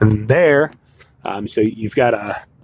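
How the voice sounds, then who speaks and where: Noticeable background noise is present. Over it, a man speaks with fairly even intonation. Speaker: car salesman. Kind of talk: product walk-around demonstration. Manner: fast; casual, many fillers.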